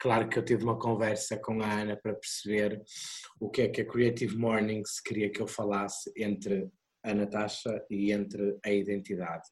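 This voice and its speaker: A man's fairly low-pitched voice in a monotone, flat intonation. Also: moderate pace. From Portugal, Porto. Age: 30s. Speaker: drag performer and makeup artist. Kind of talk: online talk. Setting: video call. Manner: halting.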